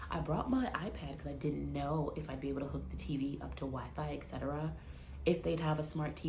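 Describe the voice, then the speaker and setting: A woman speaks quietly, with audible room echo and noticeable background noise. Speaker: vlogger. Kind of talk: casual vlog talk to camera. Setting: hotel room. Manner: quiet, hushed.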